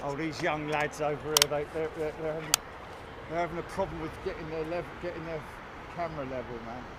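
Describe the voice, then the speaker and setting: A fairly high-pitched man speaks at a fairly quick pace over noticeable background noise. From London. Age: 60s. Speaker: live stream host, planespotting commentator. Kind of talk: live commentary. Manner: casual, animated.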